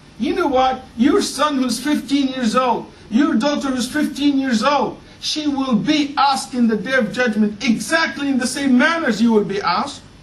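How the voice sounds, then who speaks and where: Pitch moves in an ordinary way at a moderate pace. Room echo is audible, and background noise is noticeable. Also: man, extremely high pitch for a man. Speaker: Islamic preacher. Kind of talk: sermon.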